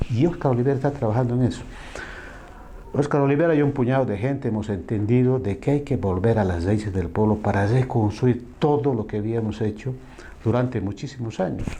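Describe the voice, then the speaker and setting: Amid noticeable background noise and audible room echo, a man talks at a fairly quick pace with medium pitch and ordinary pitch variation. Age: 60s. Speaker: former union leader and social activist. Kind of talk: interview.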